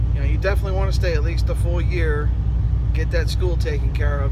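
A man talks at a fairly quick pace. Loud background noise fills the recording. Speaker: truck driver trainer. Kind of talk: casual vlog chat. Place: car. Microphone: phone near.

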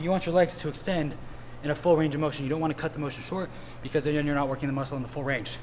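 A man's fairly high voice with ordinary pitch variation, plus noticeable background noise and audible room echo. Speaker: fitness trainer. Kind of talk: exercise tutorial. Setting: gym. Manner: casual, energetic.

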